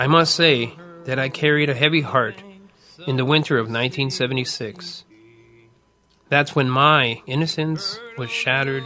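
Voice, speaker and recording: A man at a moderate pace, fairly high-pitched, with ordinary pitch variation, long, frequent pauses and music in the background. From Winnipeg, Manitoba, Canada. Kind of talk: personal digital story narration.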